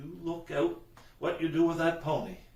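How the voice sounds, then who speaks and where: A man puts on a gruff, growling character voice pitched high for a man, with fairly even intonation. He speaks at a moderate pace, and there is a slight echo. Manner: grudging, irritated.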